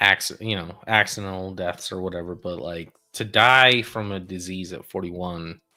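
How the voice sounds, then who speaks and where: With music in the background, a man with a very deep, low voice speaks fairly slowly and with fairly even intonation. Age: 60s. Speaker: sports podcast co-host. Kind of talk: casual chat.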